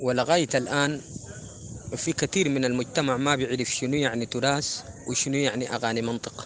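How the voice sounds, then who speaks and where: With a Sudanese accent, a man speaks at a moderate pace using fairly even intonation. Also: medium pitch for a man. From Sudan, West Darfur (El Geneina). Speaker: folk singer. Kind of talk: interview.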